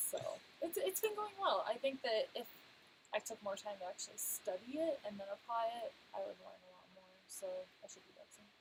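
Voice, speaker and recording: Soft-spoken, a woman talks at a fairly quick pace with big swings in loudness. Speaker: travel vlogger. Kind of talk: live stream chat.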